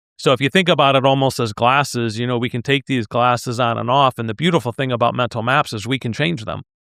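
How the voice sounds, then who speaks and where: A man's medium-pitched voice with vocal fry and ordinary pitch variation at a fairly quick pace, dry and close with no echo on a very clean recording with a silent background. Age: 60s. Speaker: leadership consultant and executive coach. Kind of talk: podcast interview.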